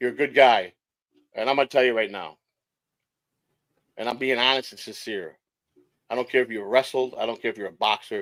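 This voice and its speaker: A man's medium-pitched voice at a fairly quick pace, with long, frequent pauses, ordinary pitch variation and big swings in loudness. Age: 60s. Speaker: online streamer guest. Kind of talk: casual chat. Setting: live stream. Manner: halting.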